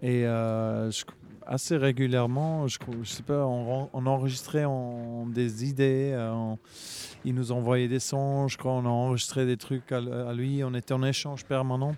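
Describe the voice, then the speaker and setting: The man has a medium pitch and a dark, mellow tone. He speaks at a fairly slow pace with monotone, flat intonation. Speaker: musician. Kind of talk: casual interview chat.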